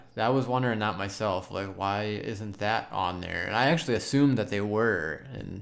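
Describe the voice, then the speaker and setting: Room echo is audible as a man speaks at a moderate pace. His pitch is fairly low, with ordinary variation. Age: 30s. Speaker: podcast co-host. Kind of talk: casual chat.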